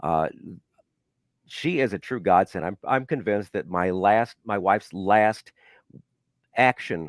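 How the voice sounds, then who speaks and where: In an ordinary speaking voice, a man with an American accent talks at a moderate pace and fairly low pitch with lively intonation, on a very clean recording with a silent background and a dry, close sound with no echo. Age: 60s. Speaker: radio personality. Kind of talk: interview. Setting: podcast.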